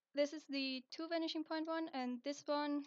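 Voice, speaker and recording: A woman with a non-native accent, fairly slow in pace, her intonation fairly even. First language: not English. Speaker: digital art tutorial maker. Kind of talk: software tutorial narration. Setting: low-quality home microphone. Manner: casual, hesitant.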